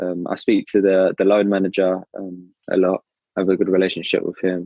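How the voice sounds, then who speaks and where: A man in a southern English accent at a moderate pace, with a dry, close sound and no echo. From southern England (Brighton). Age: 20s. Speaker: professional footballer. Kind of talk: interview. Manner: hesitant, many fillers.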